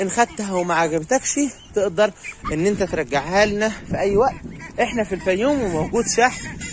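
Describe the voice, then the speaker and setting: A man talks in a high pitch with lively intonation. The sound is dry with no echo, and background noise is noticeable. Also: moderate pace. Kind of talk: casual vlog chat. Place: farm. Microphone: phone near.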